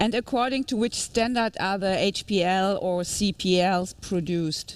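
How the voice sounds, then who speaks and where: The speech moves at a moderate pace with ordinary pitch variation. Its loudness stays very even. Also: woman, medium pitch for a woman. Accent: German. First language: German. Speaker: webinar host. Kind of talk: webinar moderation. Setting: live studio.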